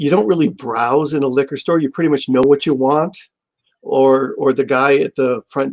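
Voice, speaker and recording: At a fairly slow pace, a man talks in a fairly high voice. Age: 60s. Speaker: comic shop owner. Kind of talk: interview. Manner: halting.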